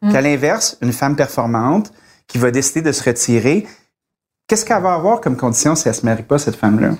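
In a very clean recording with a silent background, a man with a normal speaking voice talks at a medium pitch with lively intonation. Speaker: chef. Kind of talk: casual chat.

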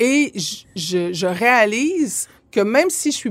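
Speaking very slowly with a Quebec accent, a woman lets her pitch swing very widely. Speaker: former MP, lawyer and journalist. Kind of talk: casual interview. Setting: studio. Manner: halting, many fillers.

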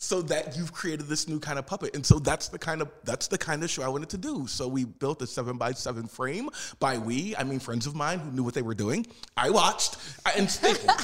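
Speaking with an American accent and a normal speaking voice, a man uses lively intonation at a fairly high pitch. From South Philadelphia, US. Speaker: puppeteer and actor. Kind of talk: interview. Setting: studio.

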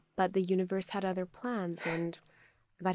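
On a very clean recording with a silent background, a woman speaks fairly quickly at a fairly low pitch with monotone, flat intonation. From Pakistan. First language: Urdu. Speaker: entrepreneur, cookware brand founder. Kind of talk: interview. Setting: studio.

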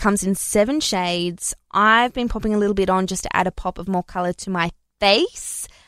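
A woman speaks with an Australian accent and ordinary pitch variation. The recording is very clean, with a silent background. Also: dry, close sound with no echo. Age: 30s. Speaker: beauty podcast host. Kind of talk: solo product review monologue.

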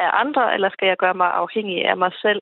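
A woman's plain, everyday voice at a medium pitch and moderate pace. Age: 30s. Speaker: insurance worker and hobby investor. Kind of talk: radio panel discussion. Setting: phone call.

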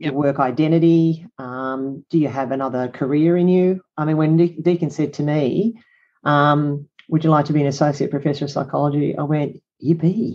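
A woman's very deep, low voice with an Australian accent, fairly even intonation and a moderate pace. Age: 60s. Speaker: psychologist and business coach. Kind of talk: interview conversation.

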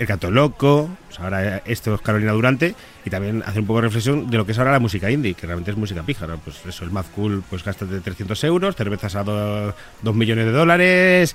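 Noticeable background noise sits behind a man talking at a fairly quick pace. His voice is fairly low in pitch, with lively intonation. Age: 30s. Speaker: author. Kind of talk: interview. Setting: studio.

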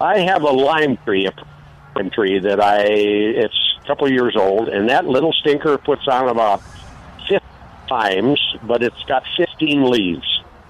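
Using a normal speaking voice, the speaker talks fairly slowly with lively intonation. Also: man, medium pitch for a man. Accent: American. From Wisconsin. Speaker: caller. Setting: phone call.

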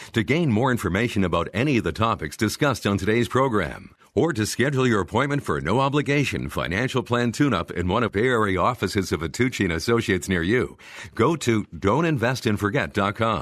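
At a fairly quick pace with hardly any pauses, a man uses a normal speaking voice, medium in pitch, with lively intonation and very even loudness. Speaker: show announcer. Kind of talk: scripted narration.

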